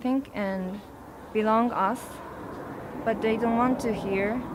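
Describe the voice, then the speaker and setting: Against noticeable background noise, a woman with a Japanese accent speaks at a fairly high pitch with ordinary pitch variation. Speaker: protester. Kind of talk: interview. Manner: halting.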